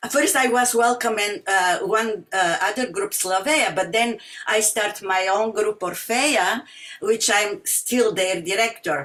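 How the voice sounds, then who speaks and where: Fairly slow, fairly high-pitched female speech with a strong Bulgarian accent, very even loudness and noticeable background noise. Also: ordinary pitch variation. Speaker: singer and music teacher. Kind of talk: community talk. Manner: halting, many fillers.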